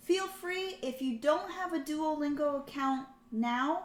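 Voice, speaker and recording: A woman's high-pitched voice with lively intonation and a fairly slow pace. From United States. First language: French. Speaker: streamer. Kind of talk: casual livestream chat. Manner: casual, filler-heavy.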